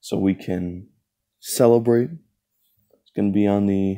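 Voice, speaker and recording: A man's fairly low, dark, mellow voice at a moderate pace, with fairly even intonation and a quiet background. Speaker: channel host. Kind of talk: casual vlog chat. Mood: playful, a bit awkward. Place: home room. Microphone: phone near.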